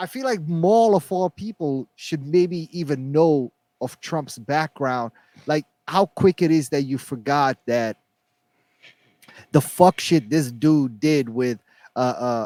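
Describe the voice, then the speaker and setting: This man talks at a very slow pace with long, frequent pauses and a non-native accent. His pitch is fairly high and his intonation lively. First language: not English. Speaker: podcast co-host. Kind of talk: casual chat. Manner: halting.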